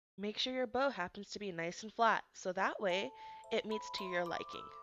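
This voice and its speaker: With music in the background, a woman speaks at a moderate pace. Her medium-pitched voice carries lively intonation. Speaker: DIY crafts tutorial host. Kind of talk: craft tutorial instructions. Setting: home recording, low volume.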